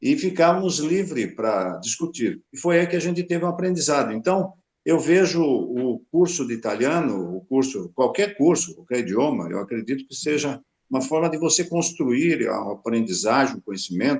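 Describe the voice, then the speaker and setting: A man's pitch swings very widely. His voice carries vocal fry. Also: fairly high pitch for a man, moderate pace. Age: 70s. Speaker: retired professor. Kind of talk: panel discussion.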